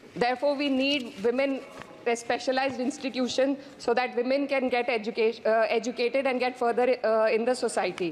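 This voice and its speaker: A woman's high pitch with fairly even intonation and very even loudness, over noticeable background noise. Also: fairly quick pace. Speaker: member of parliament. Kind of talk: parliamentary speech. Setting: parliament chamber. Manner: formal.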